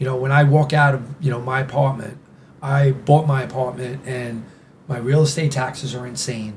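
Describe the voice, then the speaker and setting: Through audible room echo and noticeable background noise, a man with a New York accent speaks at a moderate pace with medium pitch and monotone, flat intonation. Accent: old school New York. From New York City. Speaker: nightlife figure. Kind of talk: casual chat. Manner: halting, many restarts.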